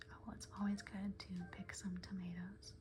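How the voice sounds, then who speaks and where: The speaker is soft-spoken. The pace is fairly slow. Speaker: ASMR gaming creator. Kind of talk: soft-spoken ASMR gameplay rambling.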